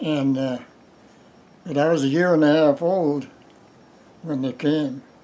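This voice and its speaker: A man with an American accent and a dark, mellow tone, fairly slow and fairly even, with long, frequent pauses. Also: fairly high pitch for a man. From US Midwest. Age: 90s. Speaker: retired farmer. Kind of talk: oral history interview. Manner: halting.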